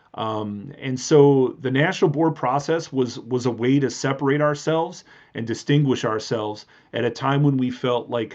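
A man speaks with an Upper Midwest accent. His medium pitch keeps a fairly even intonation. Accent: Upper Midwest American. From southeast Wisconsin, Milwaukee suburbs. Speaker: high school history teacher. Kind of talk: interview. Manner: hesitant with many fillers.

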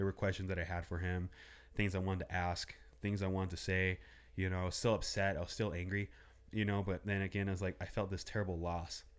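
A man with an American accent, very deep and low in pitch, monotone and flat, at a fairly quick pace in a very clean recording with a silent background. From Southern California (805 area code). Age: 30s. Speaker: small business owner. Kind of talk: casual interview chat.

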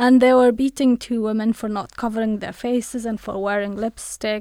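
On a very clean, dry, close recording with a silent background and no echo, a woman with an Afghan accent speaks at a moderate pace in a fairly high, monotone, flat voice. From Afghanistan. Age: 30s. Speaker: human rights researcher and reporter. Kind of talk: interview. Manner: halting.

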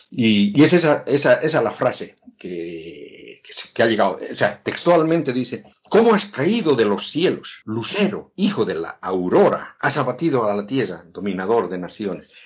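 Speaking at a fairly slow pace, a man with a fairly high pitch makes very wide pitch swings and shows vocal fry. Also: hardly any pauses. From Bolivia, Oruro. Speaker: podcast host and author. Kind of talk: casual interview conversation. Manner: halting, repeating words.

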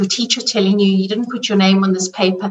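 A woman speaks at a medium pitch with a South African accent. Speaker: money coach. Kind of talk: interview.

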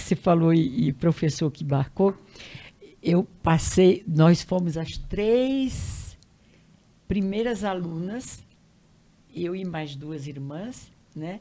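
Speaking very slowly with long, frequent pauses, a woman uses a fairly low, dark and mellow voice with ordinary pitch variation. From Brazil, Piauí (Northeast). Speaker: retired teacher and educator. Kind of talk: interview testimony. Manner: halting.

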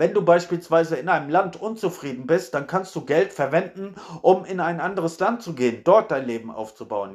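A man speaks in a high-pitched voice with lively intonation, hardly pausing at all. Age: 30s. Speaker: podcaster. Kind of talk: solo monologue. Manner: casual, frequent fillers.

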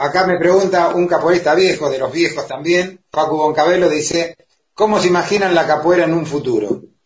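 Speaking at a fairly quick pace, a man with a high pitch keeps his intonation fairly even. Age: 60s. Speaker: interviewer, capoeira teacher. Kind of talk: interview. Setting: video call.

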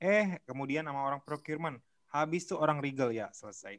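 A man's fairly high voice, an unremarkable speaking voice at a moderate pace with ordinary pitch variation, on a very clean recording with a silent background. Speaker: podcast co-host, sales professional. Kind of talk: casual chat.

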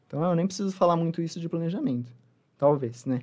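A man rattles off words very fast, fairly high in pitch, with ordinary pitch variation. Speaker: nutritionist. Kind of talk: interview.

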